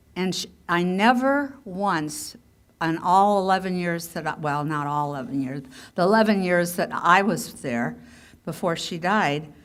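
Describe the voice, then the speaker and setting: Over audible room echo, a woman with an American accent speaks at a fairly slow pace with lively intonation. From US Midwest, Iowa (Webster City). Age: 70s. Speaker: author and speaker. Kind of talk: public talk. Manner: halting, many restarts.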